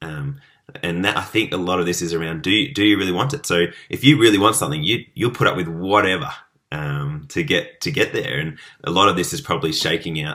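Very deep and low, a man talks very fast with an Australian accent and lively intonation. His tone is bright and sharp, and the recording is very clean with a silent background. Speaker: podcast host. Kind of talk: interview.

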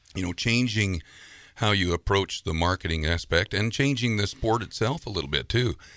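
Someone with an unremarkable speaking voice talks at a moderate pace with lively intonation, in a very clean recording with a silent background. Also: man, fairly low pitch for a man. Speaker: rodeo announcer. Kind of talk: casual interview conversation. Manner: warm, folksy.

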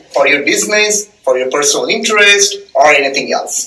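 A man speaks with a Bengali accent over noticeable background noise. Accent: Indian English (Bengali). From eastern India (Bengal). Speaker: data scientist. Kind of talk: casual chat.

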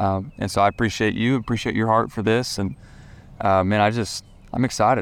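A man with a Southern US accent talks fairly quickly at a fairly low pitch with fairly even intonation, on a very clean recording with a silent background. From Tennessee, Franklin. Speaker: student pastor and children's author. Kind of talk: casual chat. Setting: outdoors.

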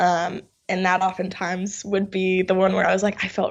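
A woman with an American accent speaks at a medium pitch and a moderate pace. Her intonation is monotone and flat, with music in the background. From New York. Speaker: actress. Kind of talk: interview.

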